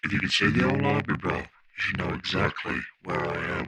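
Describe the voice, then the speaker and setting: A man's put-on character voice at a fairly quick pace. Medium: audio drama.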